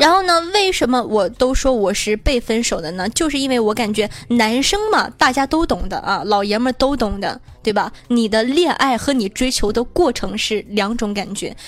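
Animated and playful in tone, a woman with high pitch and lively intonation talks at a moderate pace with hardly any pauses, over noticeable background noise. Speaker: online radio host running weekly group chat. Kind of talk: casual live chat answering listener questions. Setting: QQ group voice chat. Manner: animated, playful.

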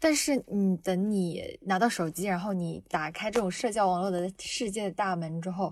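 A plain, everyday voice, this woman talks at a moderate pace with hardly any pauses and ordinary pitch variation. The recording is very clean, with a silent background. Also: medium pitch for a woman. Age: 20s. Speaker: university student. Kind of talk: personal testimony.

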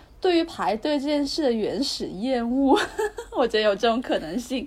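Her pitch is high and swings very widely as this woman speaks at a moderate pace. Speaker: podcast co-host. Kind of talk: casual chat. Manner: soft, low-energy.

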